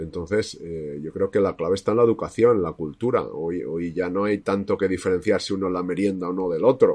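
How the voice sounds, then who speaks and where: Over a quiet background, a man with a very deep, low pitch and a dark, mellow tone talks at a fairly quick pace, with fairly even intonation and hardly any pauses. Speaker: psychologist, podcast co-host. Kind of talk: casual discussion.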